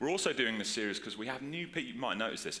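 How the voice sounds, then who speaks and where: Lively intonation marks this man's speech, with audible room echo behind him. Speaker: pastor. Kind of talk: sermon. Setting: church with congregation. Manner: casual, filler-heavy.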